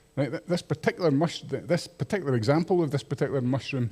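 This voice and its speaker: Talking at a very fast pace, a man with a Scottish accent has a dark, mellow, somewhat breathy tone and ordinary pitch variation. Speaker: microbiologist giving public talk. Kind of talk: public lecture.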